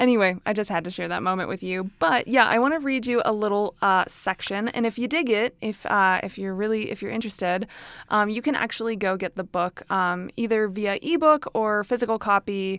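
A woman at a medium pitch, talking at a fairly quick pace with hardly any pauses, in a very clean recording with a silent background. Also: ordinary pitch variation. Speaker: podcast host and self-help author. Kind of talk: casual monologue; reading aloud from own book. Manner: fast; frequent laughter.

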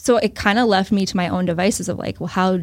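A woman uses an unremarkable speaking voice at medium pitch with fairly even intonation. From US Northeast, central Massachusetts. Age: 30s. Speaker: financial advisor. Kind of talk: casual interview. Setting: in person.

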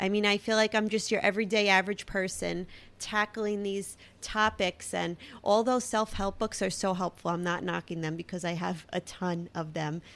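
In a Brooklyn accent, a woman speaks at medium pitch and a moderate pace with fairly even intonation. The recording is very clean, with a silent background. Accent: Brooklyn, heavy. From Brooklyn, New York. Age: 30s. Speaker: podcaster and blogger. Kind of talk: casual solo monologue.

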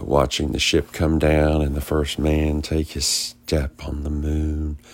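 A man speaks with a very deep, low pitch. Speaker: conspiracy podcast host. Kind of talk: solo podcast monologue. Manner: rambling, halting with fillers.

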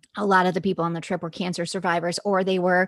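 A woman's fairly low, monotone, flat voice on a very clean recording, silent background, dry and close with no echo. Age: 40s. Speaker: mountain climber and entrepreneur. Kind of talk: interview. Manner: halting.

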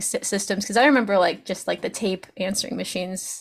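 Speaking at a fairly quick pace, a woman has a fairly high pitch with ordinary variation and an unremarkable speaking voice. The recording is very clean, with a silent background. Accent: American. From Baltimore, US. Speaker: podcast host. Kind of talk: casual interview chat.

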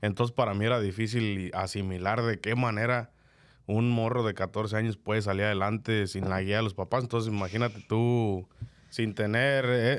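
A man talks at a moderate pace in a fairly low pitch, flat and monotone, with very even loudness. The recording is very clean and the background silent. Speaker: podcast host. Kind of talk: casual chat. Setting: studio.

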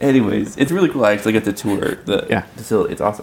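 A man of medium pitch with an American accent, over noticeable background noise. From US South, South Carolina. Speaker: podcast host. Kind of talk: casual chat. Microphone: mic problems during part of recording.

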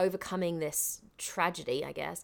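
A woman speaks in a London accent. Her pitch sits in the medium range. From London, England (Southall). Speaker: actress and voiceover artist. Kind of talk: casual interview chat.

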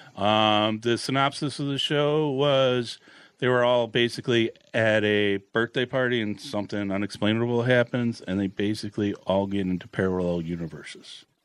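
A man speaks in a normal speaking voice, keeping a moderate pace and ordinary pitch variation. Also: medium pitch for a man. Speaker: podcast host. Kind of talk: casual chat.

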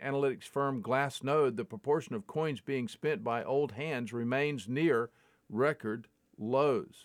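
In a very clean recording with a silent background, a man with a plain, everyday voice and fairly high pitch speaks at a fairly slow pace, dry and close with no echo. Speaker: podcast host reading daily crypto news. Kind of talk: newsreading.

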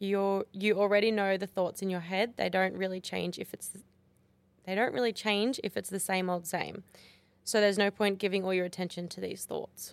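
Her pitch sits in the medium range for a woman. The intonation stays monotone and flat. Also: moderate pace. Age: 20s. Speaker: podcast co-host. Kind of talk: casual chat.

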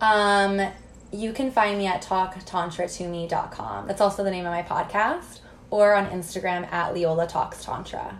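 In an American accent, a woman speaks at a medium pitch and a moderate pace. Hers is an unremarkable speaking voice with ordinary pitch variation. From US Midwest, Missouri small town. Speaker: tantra and intimacy mentor. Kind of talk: casual interview chat. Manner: frequent fillers like 'like' and 'um'.

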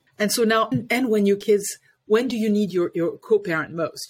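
A woman speaks with a French accent and ordinary pitch variation. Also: very clean recording, silent background. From France, Paris. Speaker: life coach and parenting educator. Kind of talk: interview.

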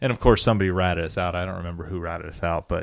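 A man talks with an American accent. The recording is very clean, the background silent. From South Florida. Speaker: sports podcast co-host. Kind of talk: casual chat.

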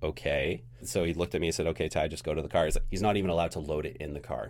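Speaking at a very fast pace, a man uses a very deep, low pitch with vocal fry. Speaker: podcast producer and editor, first-time guest host. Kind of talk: casual chat. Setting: studio.

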